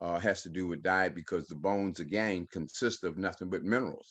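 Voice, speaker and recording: A man with a very deep, low voice talks at a moderate pace, his pitch varying in an ordinary way. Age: 60s. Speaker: holistic health practitioner. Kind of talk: panel presentation. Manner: halting with many fillers.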